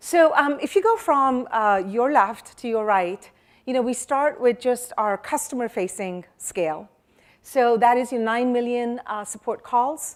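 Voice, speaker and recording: A woman talks loudly in a high voice. Her pace is fairly slow. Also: ordinary pitch variation. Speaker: security executive. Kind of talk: conference keynote.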